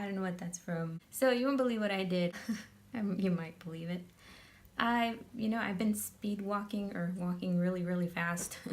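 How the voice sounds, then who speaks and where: Somewhat breathy, a woman at medium pitch talks at a moderate pace with ordinary pitch variation. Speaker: makeup tutorial youtuber. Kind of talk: casual vlog chat; tutorial.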